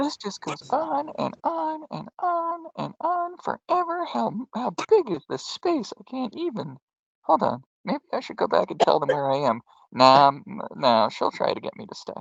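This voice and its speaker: Putting on a character voice, a man speaks at a moderate pace with big swings in loudness. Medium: actual play. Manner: rambling, talking to himself.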